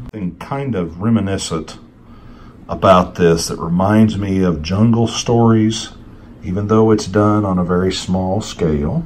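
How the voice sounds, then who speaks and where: A man's very deep voice at a moderate pace, with ordinary pitch variation and audible room echo. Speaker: comic book collector YouTuber. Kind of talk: casual show-and-tell video.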